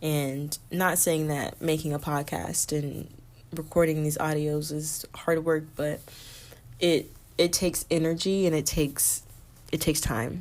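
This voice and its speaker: With a very deep, low pitch, a woman speaks at a fairly slow pace in a monotone, flat intonation. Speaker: podcast host. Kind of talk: casual solo podcast monologue. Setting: recording late at night. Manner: talking low.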